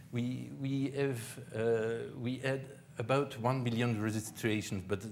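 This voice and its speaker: Audible room echo around a male voice. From Belgium. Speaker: tech conference speaker. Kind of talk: conference talk. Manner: halting, many fillers.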